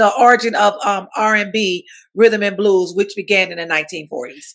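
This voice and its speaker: At a moderate pace, a woman talks at medium pitch with ordinary pitch variation in an ordinary speaking voice. The recording is very clean, with a silent background. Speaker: recording artist and music company co-host. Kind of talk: casual chat.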